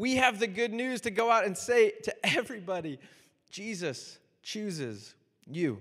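A man with an American accent speaks at a fairly slow pace, his pitch high for a man and its variation ordinary. The recording is very clean, with a silent background. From US South, Miami. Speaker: pastor. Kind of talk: sermon. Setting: church.

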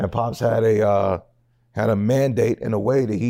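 A man's dark, mellow tone at a medium pitch, with ordinary pitch variation and a fairly slow pace, in a very clean recording with a silent background. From US West Coast, Seattle area. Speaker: podcast host. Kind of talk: casual interview chat. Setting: studio.

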